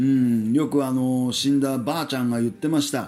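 A man at a moderate pace with ordinary pitch variation, music playing behind him. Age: 40s. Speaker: podcast host. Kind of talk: solo monologue podcast. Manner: casual, filler-heavy.

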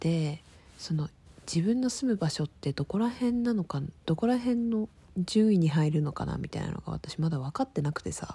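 A woman's fairly low, dark and mellow voice, somewhat breathy, with very wide pitch swings at a moderate pace. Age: 20s. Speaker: podcaster. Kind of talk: casual monologue. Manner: chatty, informal.

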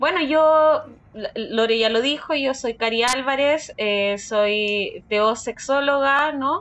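A woman with a Chilean accent talks at a very slow pace, her pitch varying in an ordinary way. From southern Chile, Valdivia. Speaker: sexologist. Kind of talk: interview, explaining.

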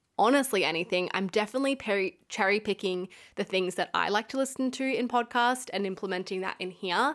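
On a very clean recording with a silent background, a woman speaks at a fairly quick pace and medium pitch with ordinary pitch variation. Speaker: podcast host. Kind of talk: solo podcast monologue, casual chat. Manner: fast talker, admits she speeds up; nervous, enthusiastic.

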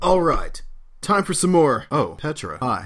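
Putting on a character voice, a man speaks high-pitched and raspy at a moderate pace on a very clean recording with a silent background.

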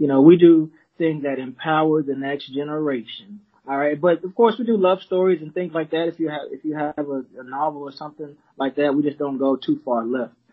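Using a normal speaking voice with an American accent, a man talks at a fairly quick pace in a fairly high pitch, with ordinary pitch variation and big swings in loudness. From Texas, Arlington. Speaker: children's book publisher. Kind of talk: casual interview.

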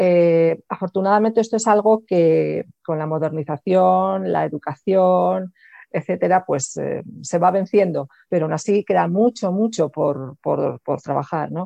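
A woman's fairly slow delivery with hardly any pauses. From Spain. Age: 50s. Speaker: sex coach. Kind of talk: interview.

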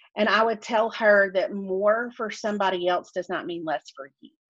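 This woman talks with a Southern US accent. Her pace is moderate. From US South. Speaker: author and podcaster. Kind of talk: casual interview chat.

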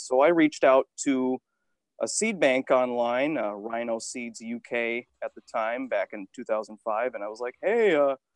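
A man at a medium pitch speaks at a moderate pace with ordinary pitch variation. The sound is dry and close, with no echo.

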